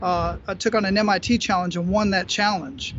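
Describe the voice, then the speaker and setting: A man with an American accent, in a dry sound with no echo, over noticeable background noise. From Phoenix, Arizona; Arizona. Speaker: podcast host and entrepreneur; podcast guest. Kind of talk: casual interview. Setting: video call outdoors at a beach gazebo. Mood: calm, reflective. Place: beach. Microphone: earbuds.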